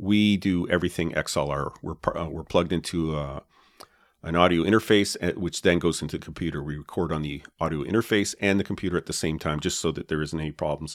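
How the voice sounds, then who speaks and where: On a very clean recording with a silent background, a man with a Canadian accent speaks at a very fast pace in a very deep, low voice with fairly even intonation. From Canada.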